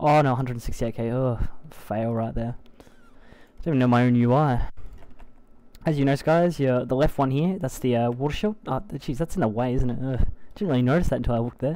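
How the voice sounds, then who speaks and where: In an Australian accent, the words come at a fairly quick pace. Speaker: gaming video creator. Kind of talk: live gameplay tutorial. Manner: casual, hesitant with many fillers.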